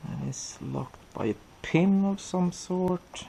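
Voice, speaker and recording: The speech comes at a very slow pace. Noticeable background noise runs underneath. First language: not English. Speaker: car DIY hobbyist. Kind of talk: tutorial. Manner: casual, hesitant with fillers.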